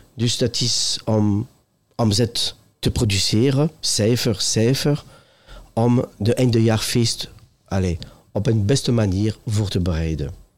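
A man's medium-pitched voice at a very slow pace. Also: ordinary pitch variation, very even loudness. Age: 50s. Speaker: retail executive. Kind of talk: interview. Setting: trade fair.

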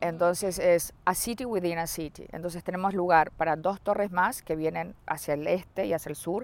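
A woman's plain, everyday voice, fairly low in pitch, with ordinary pitch variation and a fairly slow pace. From Uruguay. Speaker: real estate sales executive. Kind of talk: interview.

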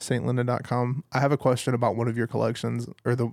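The recording is dry and close with no echo as a man speaks very fast at medium pitch. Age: 20s. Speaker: podcast host and photographer. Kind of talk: casual chat.

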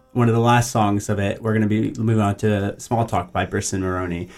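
With music playing behind him, a man speaks in a fairly low voice with an American accent and ordinary pitch variation. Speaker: school radio host. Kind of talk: casual chat. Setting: studio. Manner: animated.

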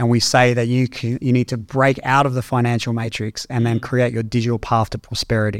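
In an Australian accent, a man speaks very fast at a medium pitch. The recording is very clean, with a silent background. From Australia, Canberra. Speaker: tech entrepreneur. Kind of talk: interview conversation.

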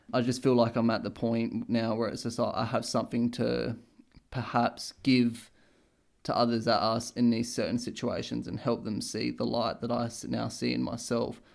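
Against a very clean recording with a silent background, a man with an Australian accent speaks at a moderate pace. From Australia, Adelaide. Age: 20s. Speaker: podcast co-host. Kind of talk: casual chat.

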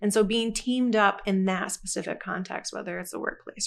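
This is a woman with an ordinary speaking voice at medium pitch. Her pitch varies in an ordinary way over a quiet background. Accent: American. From Michigan, US. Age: 40s. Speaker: church minister. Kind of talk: casual chat.

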